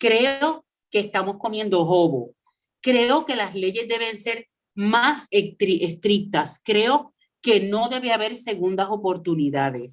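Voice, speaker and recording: A woman's medium-pitched voice with a Puerto Rican accent, very slow in pace but lively in intonation. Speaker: former radio host. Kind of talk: interview.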